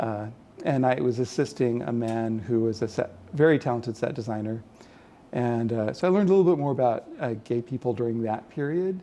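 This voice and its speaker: Speaking with a Californian accent, a man uses lively intonation at medium pitch in a dark, mellow tone. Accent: General American (Californian). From California, San Jose. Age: 60s. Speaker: illustrator. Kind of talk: oral history interview. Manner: halting, many fillers and repeats.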